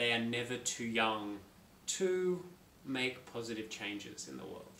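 In an Australian accent, a man's bright, sharp voice comes through light background noise and audible room echo. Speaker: young adult author; author interviewing himself. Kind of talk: self-interview. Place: home room. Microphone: phone near.

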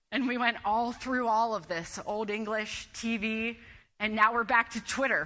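A woman's energetic, animated voice, bright and sharp in tone, fairly high in pitch, at a moderate pace. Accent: American. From US Midwest. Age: 30s. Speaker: digital media strategist, conference speaker; conference speaker. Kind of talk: conference presentation. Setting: stage with audience, PA system. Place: hall. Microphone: lapel.

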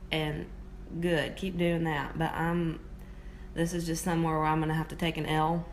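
Light noise sits behind speech delivered at an even, middling speed. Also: woman. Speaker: vlogger. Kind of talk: casual vlog chat. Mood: playful, opinionated. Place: home room. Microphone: phone near.

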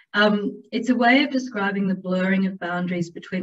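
Over light background noise, a somewhat breathy voice speaks at a moderate pace with fairly even intonation. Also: woman. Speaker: presenter. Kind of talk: presentation talk. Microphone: webcam.

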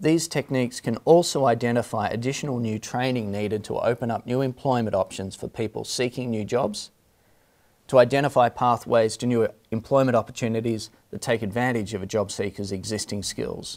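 With a slightly mellow tone, the speaker moves at a fairly quick pace and uses ordinary pitch variation. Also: man, medium pitch for a man.

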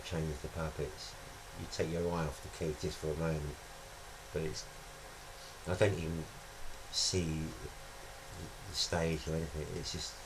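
Over noticeable background noise, a man with a very deep, low pitch talks at a moderate pace in a flat, monotone way. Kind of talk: interview answer. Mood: reflective, thoughtful. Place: studio.

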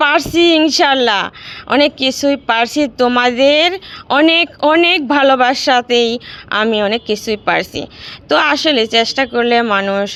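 A woman speaks at a high pitch with lively intonation. Her loudness stays very even throughout. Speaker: cooking vlogger. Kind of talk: casual vlog chat. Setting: rooftop garden at night.

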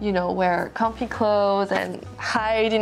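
Faint music sits in the background as a woman speaks. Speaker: beauty vlogger. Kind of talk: casual vlog chat. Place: home room.

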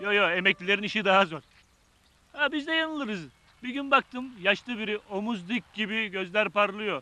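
In a raised, projected voice, a man talks at a moderate pace with ordinary pitch variation, the sound dry with no echo. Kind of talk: acted dialogue, comic storytelling. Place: street.

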